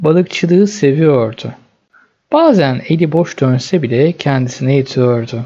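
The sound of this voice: A man speaks at a fairly slow pace with a fairly high pitch. His intonation is lively and his tone is dark and mellow.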